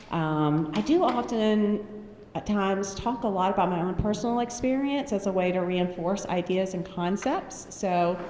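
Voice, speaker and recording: A woman with a North Carolina accent speaks at a medium pitch and moderate pace with ordinary pitch variation, amid audible room echo and noticeable background noise. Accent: Southern US, North Carolina. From North Carolina, US. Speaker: mental health speaker. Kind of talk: conference talk. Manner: energetic, animated.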